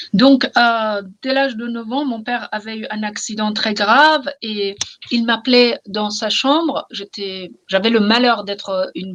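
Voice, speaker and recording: This woman's voice sits fairly high, with ordinary pitch variation. She speaks at a fairly slow pace. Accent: Iranian. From Iran. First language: Persian (speaking French). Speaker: novelist. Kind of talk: interview. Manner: halting, repeats words.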